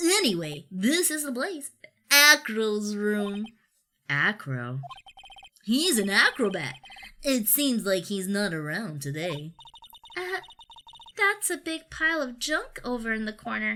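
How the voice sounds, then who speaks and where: A put-on character voice, female-sounding and fairly high-pitched, moves at a fairly slow pace with long, frequent pauses. Its pitch swings very widely. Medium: solo performance. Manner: jokey, laughing.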